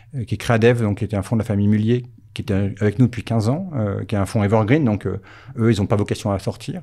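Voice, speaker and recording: Very fast in pace, a man talks with a dark, mellow tone and a fairly low pitch. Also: fairly even intonation. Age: 50s. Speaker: company founder. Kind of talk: casual interview. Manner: halting, many repetitions.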